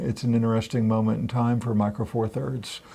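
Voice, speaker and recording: A man speaks at a medium pitch. He is soft-spoken. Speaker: photography video co-host. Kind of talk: casual chat. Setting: studio.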